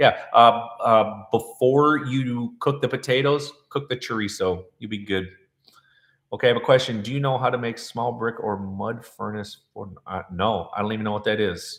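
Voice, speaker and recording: Speaking at a moderate pace, a man uses an animated tone at a medium pitch. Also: ordinary pitch variation. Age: 40s. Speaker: chef and cooking channel host. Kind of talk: live-stream Q&A reading viewer comments. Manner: casual, animated.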